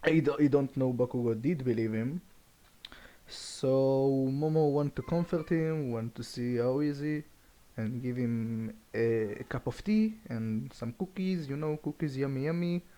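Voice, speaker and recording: In a very clean recording with a silent background, a man with a non-native accent speaks at a fairly slow pace, his medium-pitched voice dark and mellow in tone with ordinary pitch variation. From Europe. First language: not English. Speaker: fan fiction storyteller. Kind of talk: casual improvised storytelling. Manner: halting, many restarts and fillers.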